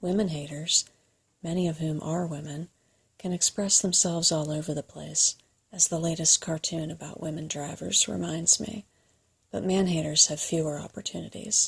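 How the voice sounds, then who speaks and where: Soft-spoken with vocal fry, a woman talks at a moderate pace in a fairly low pitch with ordinary pitch variation. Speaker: video creator reading a book aloud. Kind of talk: reading of a printed essay, ASMR-style.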